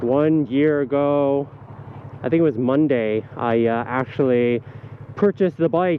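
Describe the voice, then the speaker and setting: A man with a medium-pitched voice talks over clearly audible background noise. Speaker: motovlogger. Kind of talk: casual vlog monologue while riding. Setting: riding a motorcycle outdoors. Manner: relaxed with frequent fillers.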